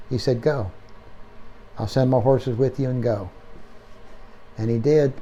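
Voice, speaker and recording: With an American accent, a man speaks at a moderate pace and medium pitch, his somewhat breathy, dark, mellow tone marked by fairly even intonation and long, frequent pauses. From Pennsylvania. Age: 70s. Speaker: horse trainer. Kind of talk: interview storytelling. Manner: halting.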